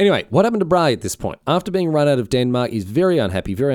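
With very wide pitch swings and an Australian accent, a man talks very fast in a very clean recording over a silent background. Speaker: history podcast host. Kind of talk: casual solo history narration. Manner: halting, frequent fillers; hurried.

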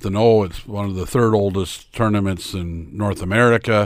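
In a very clean recording with a silent background, a man with a Canadian accent and a fairly low pitch speaks with fairly even intonation in a plain, everyday voice. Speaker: sports commentator and realtor. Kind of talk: casual chat.

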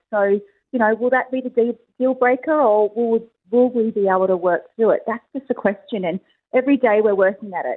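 The speaker has an Australian accent. The pace is fairly quick, with ordinary pitch variation. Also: woman, fairly high pitch for a woman. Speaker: reality TV contestant. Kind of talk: interview. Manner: loud.

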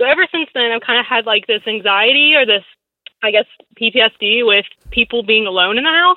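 An unremarkable speaking voice moves at a fairly quick pace with lively intonation. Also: woman, fairly high pitch for a woman. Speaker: caller. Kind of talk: phone-in advice call. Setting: phone call.

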